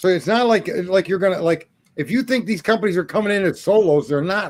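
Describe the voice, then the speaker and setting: Talking very fast, a man uses a high pitch with ordinary pitch variation. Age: 60s. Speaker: retired business owner. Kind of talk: casual chat.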